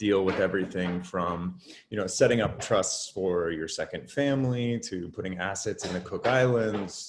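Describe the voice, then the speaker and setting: With an American accent, a man with a very deep, low pitch talks at a moderate pace, hardly pausing and with ordinary pitch variation. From United States. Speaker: artist. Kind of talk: casual chat.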